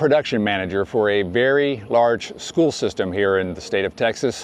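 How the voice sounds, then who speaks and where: There is noticeable background noise around this man with an American accent. His pitch swings very widely. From US South. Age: 60s. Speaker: YouTuber. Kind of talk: vlog. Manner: casual.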